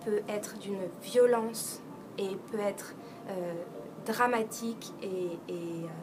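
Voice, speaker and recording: Over noticeable background noise, a woman speaks very slowly at a medium pitch with fairly even intonation. She leaves long, frequent pauses. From France. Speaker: actress. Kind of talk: interview answer.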